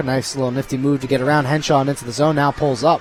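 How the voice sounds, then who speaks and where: Noticeable background noise sits under a man's voice, which is medium in pitch. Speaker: hockey play-by-play announcer. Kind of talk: live commentary. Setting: ice arena. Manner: animated.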